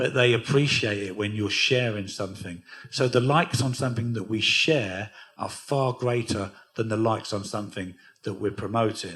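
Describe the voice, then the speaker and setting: Speaking at a moderate pace, a man has a somewhat breathy voice pitched in the medium range. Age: 60s. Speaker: record label founder and DJ. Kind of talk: onstage interview at a music workshop.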